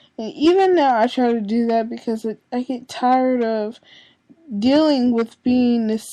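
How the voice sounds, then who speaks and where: Ordinary pitch variation at a fairly slow pace. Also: woman. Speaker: vlogger. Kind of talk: personal confession monologue.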